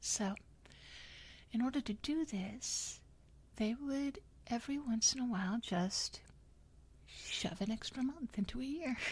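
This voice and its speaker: Soft-spoken and fairly slow, this voice breaks often into long pauses. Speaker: history channel host. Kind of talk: ASMR history narration, soft-spoken relaxing. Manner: soft-spoken, bemused, conversational.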